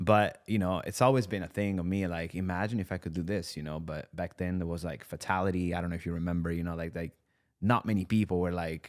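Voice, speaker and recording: A man with a slight Italian accent speaks at a very fast pace in a very deep, low voice. His intonation is fairly even, and the recording is very clean with a silent background. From Italy, near Bologna. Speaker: content creator and musician. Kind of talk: casual podcast interview. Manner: casual, many fillers.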